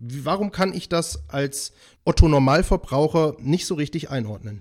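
A man's plain, everyday voice, fairly high-pitched, with lively intonation, on a very clean recording with a silent background. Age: 30s. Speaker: podcast host. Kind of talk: casual interview chat.

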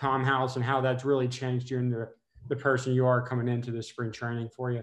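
Talking at a very fast pace, a man with an American accent keeps fairly even intonation at medium pitch. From Texas. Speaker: podcast co-host. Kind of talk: casual interview.

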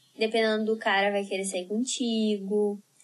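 Her voice sits at a fairly high pitch. The woman's intonation stays monotone and flat. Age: 20s. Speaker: sexologist and podcast host. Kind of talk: casual chat.

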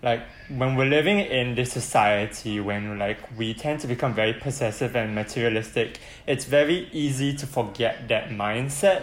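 At a moderate pace, a man has a plain, everyday voice with a medium pitch and ordinary pitch variation. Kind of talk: casual chat.

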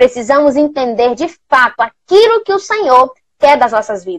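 A woman's high voice with very wide pitch swings at a fairly slow pace, in a dry, close sound with no echo. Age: 20s. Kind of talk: livestream talk on faith and fashion. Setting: online live stream. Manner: animated.

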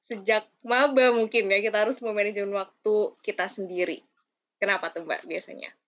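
A woman with a fairly high pitch uses an ordinary speaking voice at a moderate pace, with ordinary pitch variation. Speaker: student podcast host. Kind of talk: casual podcast interview.

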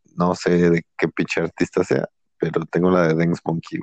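Recorded with a dry, close sound and no echo, a man with a Mexican accent talks at a moderate pace. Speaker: podcast co-host. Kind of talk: casual chat.

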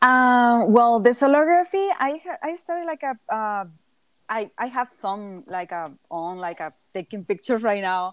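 A woman with a Mexican accent, a fairly high pitch, very wide pitch swings and a fairly slow pace, in a very clean, silent, dry and close recording with no echo. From southern Mexico. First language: Spanish. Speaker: multidisciplinary artist. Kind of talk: casual interview.

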